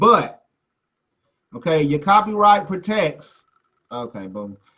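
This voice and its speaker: A loud man with a high pitch and a bright, sharp tone speaks at a fairly slow pace with an American accent. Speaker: music business teacher. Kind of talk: lecture.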